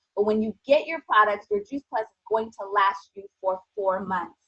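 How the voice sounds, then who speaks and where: Moderate pace and ordinary pitch variation in a woman's plain, everyday voice, pitched fairly high. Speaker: nutrition strategist. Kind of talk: sales pitch.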